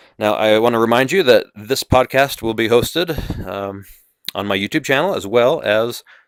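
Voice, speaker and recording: A man of medium pitch with an American accent, a dry, close sound with no echo, in a very clean recording with a silent background. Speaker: podcast host. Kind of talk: monologue podcast. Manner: halting.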